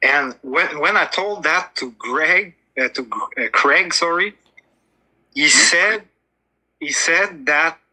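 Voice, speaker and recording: A man's very slow speech in a strong French Canadian accent. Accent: big French Canadian. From Quebec, Montreal. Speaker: flat earth debater. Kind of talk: debate. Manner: halting, searching for words.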